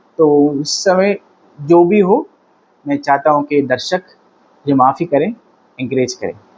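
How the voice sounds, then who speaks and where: A man with a Tamil accent speaks at a fairly high pitch. His pitch varies in an ordinary way, and he takes long, frequent pauses. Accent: Tamil-accented non-native Hindi. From Tamil Nadu, India. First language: Tamil (speaking Hindi). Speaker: political commentator. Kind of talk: political commentary monologue. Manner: halting, with fillers.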